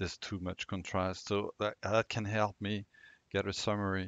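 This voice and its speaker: With a non-native accent, a man speaks at a fairly low pitch in a dry, close sound with no echo and a quiet background. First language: not English. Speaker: tech tutorial creator. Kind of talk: screen-recorded tutorial. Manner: halting, many fillers.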